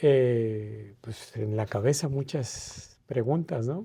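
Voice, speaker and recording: A medium-pitched man's voice, dark and mellow in tone and somewhat breathy, with ordinary pitch variation. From Mérida, Yucatán, Mexico. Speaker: ambassador, diplomat. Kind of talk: interview answer. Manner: hesitant, reflective.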